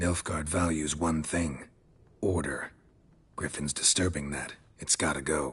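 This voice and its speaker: A man's put-on character voice, very deep and low, at a moderate pace with long, frequent pauses. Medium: video game. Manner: clipped, terse, dropped subjects.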